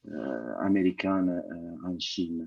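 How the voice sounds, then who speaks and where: Recorded with a dry, close sound and no echo, a man with a non-native accent speaks at a very deep, low pitch with fairly even intonation. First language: not French (speaking French). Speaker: law lecturer. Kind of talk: audience question. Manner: halting, repeats words.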